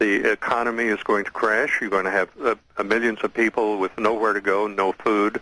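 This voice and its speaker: A man's fairly low, bright, sharp voice in a monotone, flat intonation, with a dry, close sound and no echo. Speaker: political commentator. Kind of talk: radio interview.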